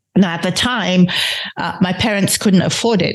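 Fairly quick and fairly low in pitch, a woman speaks with ordinary pitch variation. Noticeable background noise can be heard. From London and Nigeria. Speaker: podcast host. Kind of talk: solo podcast monologue.

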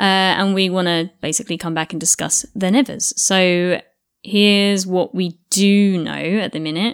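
A woman with a British accent at a moderate pace, her intonation fairly even. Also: medium pitch for a woman. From England. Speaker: podcast co-host. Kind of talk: casual chat. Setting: remote call.

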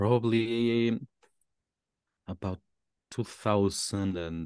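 A man with a Mexican accent speaks with fairly even intonation in a dry, close sound with no echo. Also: quiet background. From Mexico. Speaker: hip hop artist. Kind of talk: casual interview chat. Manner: halting, searching for words.

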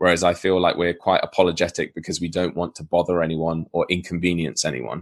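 Very fast talk in a southern English accent with vocal fry, fairly even intonation, hardly any pauses and a quiet background. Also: man, very deep, low pitch for a man. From southern England, Southampton. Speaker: YouTuber. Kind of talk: casual conversation.

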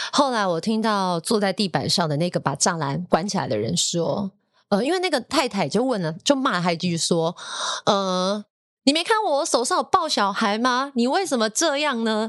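Recorded dry and close with no echo, a woman speaks at a moderate pace and fairly high pitch, with very wide pitch swings and big swings in loudness. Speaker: radio DJ and podcast host. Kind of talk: casual chat.

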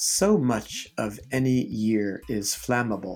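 Music plays in the background as a man speaks in a calm tone with fairly even intonation. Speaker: Zen teacher and podcast host. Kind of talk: poem reading aloud, measured and contemplative; guided meditation and talk. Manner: slow, reflective, soft-spoken, with pauses between lines; calm, unhurried, hesitant with fillers.

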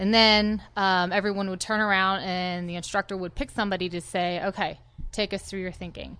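A woman's medium-pitched, bright, sharp voice, fairly quick and monotone, over a quiet background. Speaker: army veteran. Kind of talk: interview. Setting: studio.

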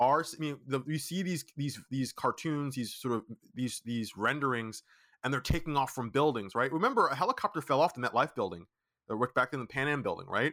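Speaking at a fairly quick pace with an American accent, this voice has a bright, sharp tone, ordinary pitch variation, and a dry, close sound with no echo on a very clean recording against a silent background. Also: man, fairly high pitch for a man. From Brooklyn, New York. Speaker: startup founder. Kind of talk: interview.

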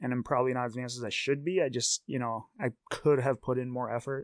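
Recorded with a dry, close sound and no echo, a man with an unremarkable speaking voice talks at a fairly quick pace in a medium pitch. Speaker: stand-up comedian. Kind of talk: casual chat.

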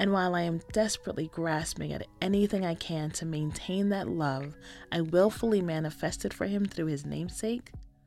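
Music plays behind a woman with a fairly low voice. She talks at a fairly quick clip with ordinary pitch variation. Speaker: essayist. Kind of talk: reading aloud.

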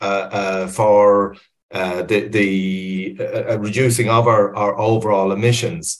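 Speaking at a fairly slow pace, a man with an Irish accent sounds somewhat breathy. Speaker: webinar moderator, environmental advisor. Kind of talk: moderated webinar discussion. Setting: online webinar. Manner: hesitant, many fillers and repetitions.

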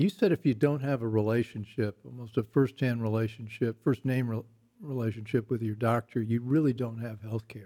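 Dry and close with no echo, a man with an American accent speaks in a dark, mellow tone at medium pitch, fairly quick in pace and fairly even in intonation. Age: 60s. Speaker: talk show host. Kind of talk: interview. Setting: studio.

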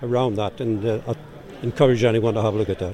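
A man speaks with a Geordie accent at a medium pitch. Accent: Geordie, noticeable. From Newcastle, north-east England. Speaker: organisation director. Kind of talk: interview. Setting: live at a motorhome show.

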